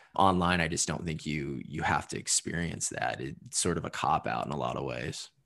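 Very deep and low, this man's voice carries vocal fry and ordinary pitch variation. He keeps a moderate pace with hardly any pauses. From US Midwest, southern Indiana. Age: 20s. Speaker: copywriter and poet. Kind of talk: casual interview chat.

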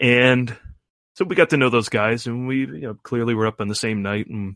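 At a moderate pace, a man talks at a medium pitch in an ordinary speaking voice. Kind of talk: relaxed interview answers. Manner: casual, rambling, self-correcting storytelling.

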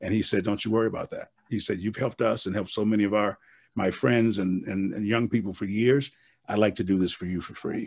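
Talking at a very fast pace with an American accent, a man keeps a fairly low pitch and fairly even intonation in a very clean recording with a silent background. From US Midwest (Milwaukee). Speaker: motivational speaker and author. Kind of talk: interview.

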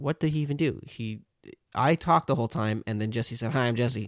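This man has an unremarkable speaking voice and talks at a fairly quick pace with lively intonation. The sound is dry and close, with no echo. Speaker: podcast co-host. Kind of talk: casual banter, comedic chat. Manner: playful, jokey.

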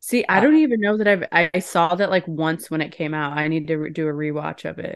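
A woman's unremarkable speaking voice, fairly low in pitch, with ordinary pitch variation, a fairly quick pace and a quiet background. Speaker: podcast co-host, magazine editor. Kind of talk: casual chat.

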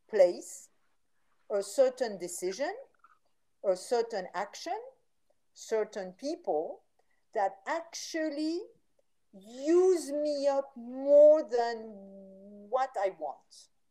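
Speaking with a French accent, a woman with a high pitch and a dark, mellow tone moves at a very slow pace with long, frequent pauses. Her voice shows very wide pitch swings and big swings in loudness. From France. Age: 60s. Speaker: vitality coach and author. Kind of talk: interview. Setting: video call.

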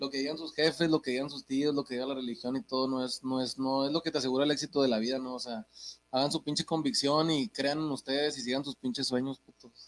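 A man's fairly high-pitched voice at a very fast pace, with fairly even intonation. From Mexico, Santa Catarina, Nuevo León. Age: 20s. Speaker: rapper. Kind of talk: casual chat.

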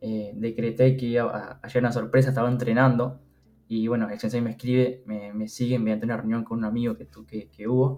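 With a Uruguayan accent, a man talks at a fairly quick pace in a flat monotone. His tone is dark and mellow, with big swings in loudness. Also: medium pitch for a man. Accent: Rioplatense Spanish (Uruguayan). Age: 20s. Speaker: funded trader. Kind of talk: casual interview.

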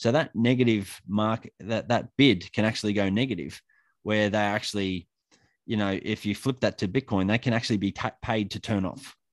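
In a very clean recording with a silent background and a dry, close sound with no echo, a man with an Australian accent speaks at a moderate pace in a fairly low voice with ordinary pitch variation. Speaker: electrician and bitcoin educator. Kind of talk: casual interview chat.

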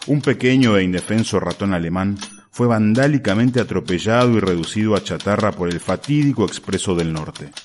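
Speaking at a fairly quick pace, a man with a normal speaking voice has a fairly low pitch and ordinary pitch variation. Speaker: narrator reading a short story. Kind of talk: dramatic narration of a story. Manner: solemn, urgent, newsreader-like gravity; building suspense, mock-epic tone.

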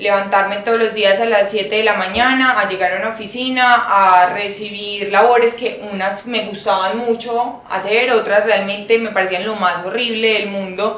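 A woman speaks at a fairly slow pace in a fairly high pitch with a monotone, flat delivery, over noticeable background noise and audible room echo. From Colombia, Antioquia (paisa). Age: 20s. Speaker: fashion entrepreneur. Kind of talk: interview.

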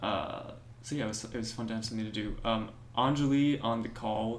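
A man speaks in a medium pitch at a moderate pace with monotone, flat intonation. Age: young. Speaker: undergraduate student. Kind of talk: casual chat.

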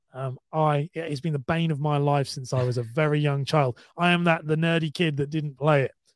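With a British accent, a man talks at a fairly quick pace and a fairly high pitch, with hardly any pauses. His intonation is fairly even and the sound is dry and close with no echo. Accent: British, sometimes taken for Australian. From UK. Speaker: podcaster and content creator. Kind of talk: casual chat.

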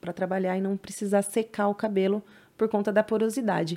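A woman with an ordinary speaking voice talks at a fairly high pitch and a moderate pace. The recording is very clean, with a silent background. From São Paulo, East Zone (Penha). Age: 30s. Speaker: hairdresser. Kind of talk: casual interview chat.

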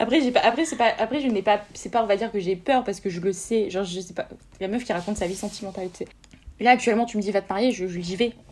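A woman's medium-pitched voice at a very fast pace. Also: ordinary pitch variation. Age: 20s. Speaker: law student. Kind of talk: casual chat.

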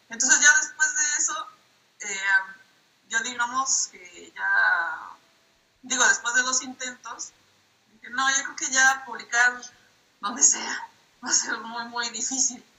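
A woman speaks at a very slow pace with long, frequent pauses. Her voice is high-pitched, with ordinary pitch variation. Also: big swings in loudness. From southern Mexico, Minatitlán, Veracruz. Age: 30s. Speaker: comic artist and illustrator. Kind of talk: interview. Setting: call via tablet.

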